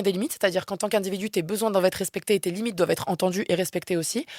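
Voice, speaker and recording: This woman speaks. Her pace is very fast. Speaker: philosophy researcher and activist. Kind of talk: interview conversation. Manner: loud.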